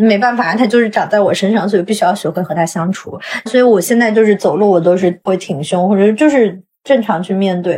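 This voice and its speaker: Somewhat breathy and dark, mellow in tone, a woman speaks at medium pitch and a fairly quick pace with ordinary pitch variation. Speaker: travelling swing dancer. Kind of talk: casual interview chat. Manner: talkative.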